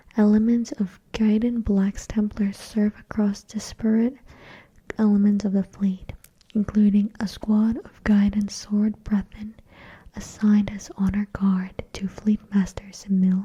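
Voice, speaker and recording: The speaker is soft-spoken. Delivery is fairly slow in pace. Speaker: ASMR creator. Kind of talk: reading aloud; casual chat.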